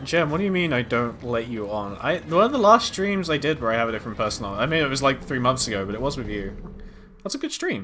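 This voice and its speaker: A man's very fast speech in a British accent, bright and sharp in tone, with very wide pitch swings. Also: medium pitch for a man. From Britain. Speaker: streamer. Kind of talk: casual chat. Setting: live stream.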